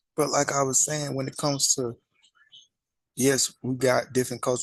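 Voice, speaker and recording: A man with a Southern US accent speaks fairly quickly at a medium pitch. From US South. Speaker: religious commentary channel host. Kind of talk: casual monologue.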